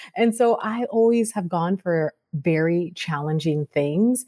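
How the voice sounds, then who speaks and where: A woman talks in a normal speaking voice at a medium pitch, with lively intonation. The sound is dry and close with no echo, on a very clean recording with a silent background. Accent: American. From Sacramento, California. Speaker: beauty entrepreneur. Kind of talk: interview.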